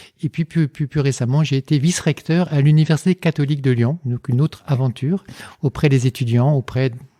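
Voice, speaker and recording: In a very clean recording with a silent background, a man with a fairly high, somewhat breathy voice and a dark, mellow tone talks at a fairly quick pace with fairly even intonation, the sound dry and close with no echo. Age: 60s. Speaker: engineer and philosopher, lecturer. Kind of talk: podcast interview. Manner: hesitant, many fillers and repetitions.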